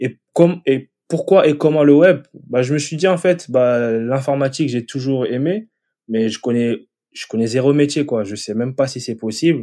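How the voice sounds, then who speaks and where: On a very clean recording with a silent background, the voice has a dark, mellow tone and ordinary pitch variation. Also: man, medium pitch for a man, fairly slow pace. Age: 30s. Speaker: web developer. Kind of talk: casual interview.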